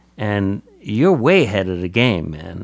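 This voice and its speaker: A man speaks with a New York accent in a fairly low pitch. His pitch shifts in an ordinary way. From New York City, Staten Island. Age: 70s. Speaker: drummer and radio personality. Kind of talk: casual interview chat. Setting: at his home.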